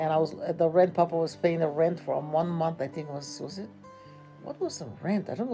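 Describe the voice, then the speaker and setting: Music plays behind a woman with a Hawaiian accent and fairly low pitch. She talks at a fairly quick pace with lively intonation. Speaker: grandmother. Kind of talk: interview answer.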